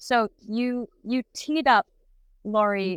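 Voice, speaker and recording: A woman's voice with ordinary pitch variation, on a very clean recording with a silent background. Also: dry, close sound with no echo. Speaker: presence coach, co-host. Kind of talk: casual chat. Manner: loud.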